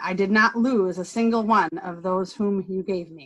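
The voice moves at a fairly slow pace with ordinary pitch variation over a quiet background. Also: woman. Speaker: lay reader in church service. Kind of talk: scripture reading. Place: home room. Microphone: video call.

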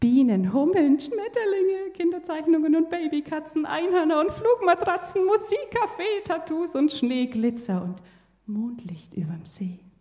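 The voice is a woman's. She swings her pitch very widely. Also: quiet background. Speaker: poetry slam performer. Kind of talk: poetry slam performance. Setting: live stage with audience. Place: stage. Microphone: handheld.

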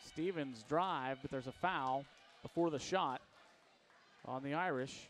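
The speech moves at a fairly slow pace with long, frequent pauses. Light background noise is audible. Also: man, fairly high pitch for a man, ordinary pitch variation, dry sound with no echo. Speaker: play-by-play announcer. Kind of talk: live basketball play-by-play commentary. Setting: gym courtside broadcast.

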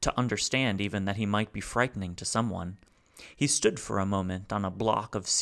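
Someone reads in a natural voice, with pitch that changes only slightly.

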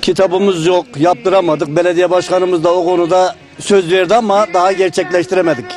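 A man with a high pitch talks at a fairly quick pace with hardly any pauses, very even loudness and fairly even intonation. The sound is dry with no echo, and faint music plays in the background. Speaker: folk poet. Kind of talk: interview answer. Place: garden. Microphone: handheld.

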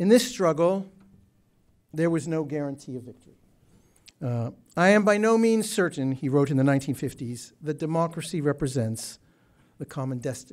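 Speaking at a moderate pace with lively intonation, a man with a fairly high pitch leaves long, frequent pauses as his loudness swings widely. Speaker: Middle East historian. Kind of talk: prepared speech. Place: hall. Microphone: podium.

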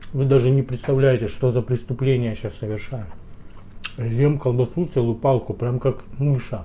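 Over light background noise, a somewhat breathy man speaks at a moderate pace with fairly even intonation. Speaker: food vlogger. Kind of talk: casual vlog chat. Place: kitchen. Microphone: phone near.

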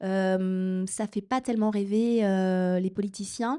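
The recording has a quiet background. A woman speaks at a medium pitch in a dark, mellow tone. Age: 40s. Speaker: novelist. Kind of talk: author talk. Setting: stage with audience. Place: hall.

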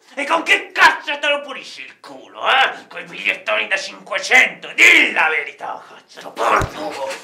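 The man's pitch is extremely high. He talks at a fairly slow pace, with big swings in loudness. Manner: mocking, aggressive, vulgar.

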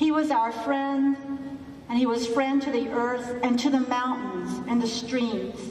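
A woman talks at a fairly slow pace in a high, monotone voice with flat intonation. Audible room echo and light background noise surround her. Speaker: minister. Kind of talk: funeral service. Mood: solemn, grieving. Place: hall.

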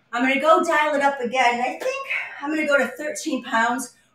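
A woman with a high pitch speaks in an upbeat tone. Audible room echo and light background noise are present. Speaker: fitness instructor. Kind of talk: live guided workout, instructing and counting reps. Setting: live video stream from home, exercising on vibration platform. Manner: upbeat, encouraging, clear coaching cues; conversational, with filler pauses. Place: empty room. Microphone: camera far.

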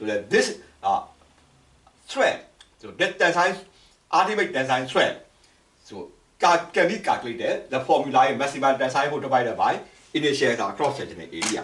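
The speech moves at a moderate pace with big swings in loudness and long, frequent pauses, and the room echo is audible. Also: man. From Myanmar. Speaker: engineering lecturer. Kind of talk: lecture. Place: home room. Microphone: camera far.

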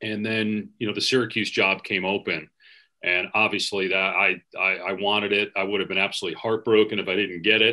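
A bright, sharp voice at a fairly quick pace, flat and monotone in intonation, over a quiet background. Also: man, fairly low pitch for a man. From US Midwest (Wisconsin). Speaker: sports play-by-play announcer; podcast guest, sports announcer. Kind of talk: casual interview chat. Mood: warm, nostalgic, storytelling. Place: home room. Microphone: video call.

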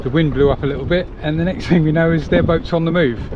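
A man's fairly quick talk comes through noticeable background noise, the sound dry with no echo. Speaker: liveaboard sailor vlogger. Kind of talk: casual vlog chat. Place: boat. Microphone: phone near.

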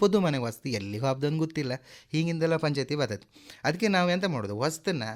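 In a very clean recording with a silent background, a man speaks with a coastal Karnataka accent and lively intonation. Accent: Kundapura Kannada dialect. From coastal Karnataka, Kundapura. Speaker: theatre actor and comedian. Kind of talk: interview.

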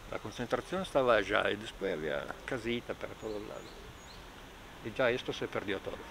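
Over noticeable background noise, a man speaks with lively intonation at a fairly quick pace, with long, frequent pauses and a dry sound lacking echo. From northern Italy, Trento province Alps. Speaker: local resident. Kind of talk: interview. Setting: outdoors. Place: open country. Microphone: phone near.

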